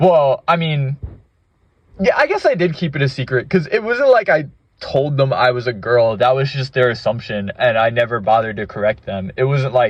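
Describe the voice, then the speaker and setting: Somewhat breathy and medium in pitch, this man speaks at a moderate pace with lively intonation. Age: 20s. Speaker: gaming vlogger. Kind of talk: casual monologue. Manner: halting.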